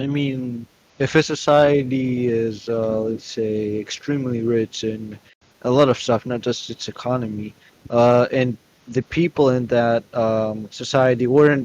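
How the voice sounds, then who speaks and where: A man with a non-native accent speaks at medium pitch and a fairly slow pace. His intonation is fairly even. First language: not English. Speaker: debate opponent. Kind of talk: heated debate.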